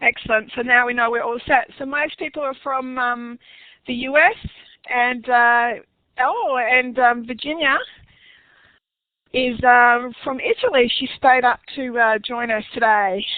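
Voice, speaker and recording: Speaking slowly with long, frequent pauses, a woman with a high pitch and an Australian accent keeps her intonation fairly even. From Western Australia. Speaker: online workshop presenter. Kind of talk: webinar tutorial. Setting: online webinar session. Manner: casual with many fillers.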